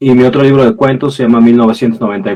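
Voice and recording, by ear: Fast-paced and fairly low in pitch, a man's voice has a slightly mellow tone with a slightly husky edge.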